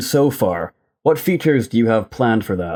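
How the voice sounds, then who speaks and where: On a very clean recording with a silent background, a man talks at a moderate pace with a dark, mellow tone and very wide pitch swings. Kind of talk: interview questions.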